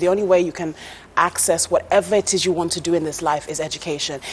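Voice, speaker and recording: A woman with a strong British accent speaks at a fairly quick pace in a fairly low voice, with noticeable background noise behind her. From England. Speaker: TV presenter and former teacher. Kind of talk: interview.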